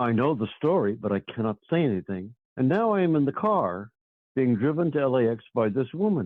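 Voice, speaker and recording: A man talks at a fairly quick pace in a medium-pitched voice. His pitch swings very widely. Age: 80s+. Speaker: longtime fan and memoirist. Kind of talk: interview storytelling. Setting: in-person interview at his home.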